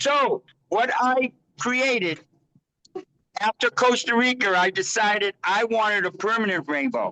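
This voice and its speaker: A man with an American accent uses a raised, projected voice that is high and bright, with a sharp tone, ordinary pitch variation and very even loudness. He goes at a fairly slow pace with long, frequent pauses, in a dry, close sound with no echo. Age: 70s. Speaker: Rainbow Family elder, farm owner. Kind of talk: interview answer. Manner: casual, stammering.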